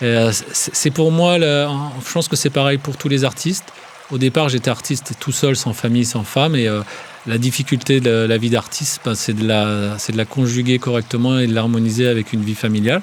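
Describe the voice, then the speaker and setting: Against noticeable background noise, a man talks at a fairly quick pace with a medium pitch and ordinary pitch variation. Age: 50s. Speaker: DJ. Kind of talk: casual chat. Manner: halting.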